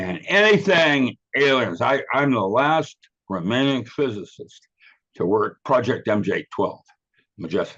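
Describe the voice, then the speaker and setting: Showing vocal fry, a man at a medium pitch talks at a fairly slow pace with very wide pitch swings. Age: 80s+. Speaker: physicist and author being interviewed. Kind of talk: casual interview conversation. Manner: rambling with frequent hesitations.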